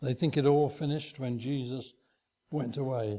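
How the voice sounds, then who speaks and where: A man's dark, mellow voice at a medium pitch moves along at a moderate pace. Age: 80s+. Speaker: lay preacher. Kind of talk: sermon. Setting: church. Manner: halting.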